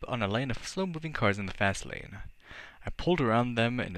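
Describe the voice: Someone reads a text aloud plainly.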